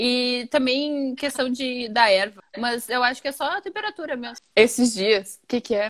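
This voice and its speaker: Her high voice moves at a moderate pace with hardly any pauses, ordinary pitch variation, and big swings in loudness, as a woman is heard in a dry, close sound with no echo. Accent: southern Brazilian. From Rio Grande do Sul, Porto Alegre. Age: 20s. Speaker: writer. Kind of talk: casual chat. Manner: animated.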